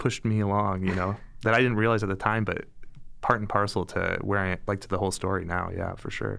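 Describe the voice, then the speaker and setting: With an American accent, a man of fairly low pitch speaks at a very fast pace. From US Midwest, Metro Detroit. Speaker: high school teacher. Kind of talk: interview testimony. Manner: casual with many fillers.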